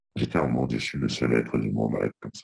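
A man's voice with vocal fry, dry and close with no echo. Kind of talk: interview. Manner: soft-spoken; halting. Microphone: too quiet at first.

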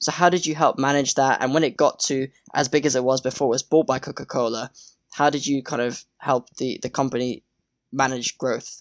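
The speaker has a British accent and a fairly quick pace. The recording is very clean, with a silent background. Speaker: podcast host. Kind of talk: interview.

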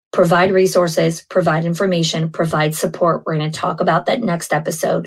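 Speaking at a fairly quick pace, a woman with an American accent and a fairly low pitch sounds somewhat breathy, with a monotone, flat intonation. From New York. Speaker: podcast host, early childhood school leader. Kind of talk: solo podcast monologue.

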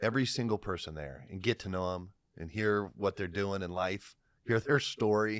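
An ordinary speaking voice, a man's at fairly low pitch with an American accent, moderate pace and ordinary pitch variation, on a very clean recording with a silent background. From Ohio, Lima area. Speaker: realtor. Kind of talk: casual interview.

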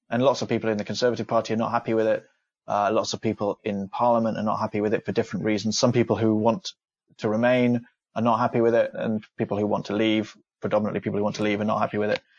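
A very fast, monotone and flat man's voice in an East Midlands accent over a quiet background. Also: medium pitch for a man, dry, close sound with no echo. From England, Leicestershire. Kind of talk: explanatory interview.

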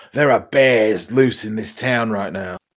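A man talks fairly slowly, with ordinary variation in his pitch. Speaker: player in the game. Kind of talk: casual chat, tabletop roleplaying game session. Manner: playful, joking.

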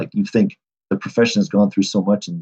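This man has an American accent. His voice sounds dry and close, without any echo. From Michigan. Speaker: athletic trainer. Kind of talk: interview conversation.

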